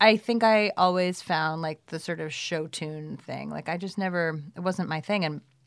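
With an American accent and a normal speaking voice, a woman talks at a fairly slow pace with a fairly low pitch, fairly even intonation and big swings in loudness, over a quiet background. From New York City (Brooklyn). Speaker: writer and film producer. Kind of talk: casual interview chat.

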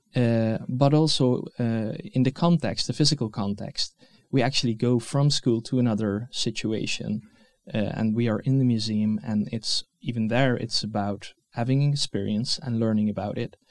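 Medium-pitched man with a Dutch accent, ordinary pitch variation and a moderate pace, on a very clean recording with a silent background. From Netherlands. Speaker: museum educator and researcher. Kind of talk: interview. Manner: halting, many fillers.

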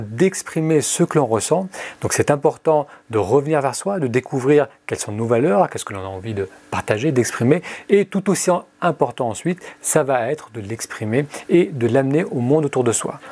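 With lively intonation, a man speaks at a moderate pace in a fairly high pitch and a dark, mellow tone. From France. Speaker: meditation podcaster. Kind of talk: scripted narration.

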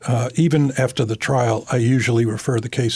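A man speaks at a medium pitch with an American accent and fairly even intonation. Noticeable background noise is present. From Massachusetts, New Bedford. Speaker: criminal defense attorney. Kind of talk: interview. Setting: studio. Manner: articulate, measured pace.

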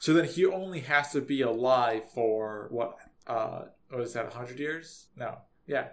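At a fairly slow pace, a man speaks in a medium pitch. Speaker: podcast host. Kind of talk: casual chat.

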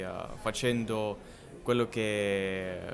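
Here a man speaks with a Russian accent. His pitch is fairly low, with ordinary variation. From Russia, Siberia (Novosibirsk). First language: Russian (speaking Italian). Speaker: polyglot, language content creator. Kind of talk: casual chat. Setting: in person in Milan. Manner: halting.

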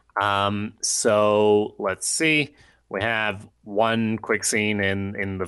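A man's fairly low voice, bright and sharp in tone, fairly even in intonation, against a quiet background. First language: not English. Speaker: podcast co-host. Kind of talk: casual chat.

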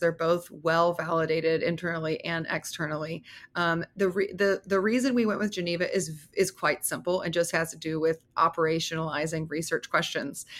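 With an American accent and an unremarkable speaking voice, a woman at fairly low pitch talks at a moderate pace with hardly any pauses and fairly even intonation, in a very clean recording with a silent background. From US Southeast. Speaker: emergency physician and researcher. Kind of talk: interview.

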